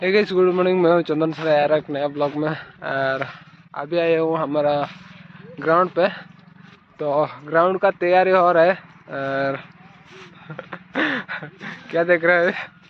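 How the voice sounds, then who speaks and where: A man talks at a fairly slow pace with long, frequent pauses, fairly even intonation and a high pitch. The sound is dry with no echo, over light background noise. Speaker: village vlogger. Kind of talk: casual vlog chat. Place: open country. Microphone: phone near.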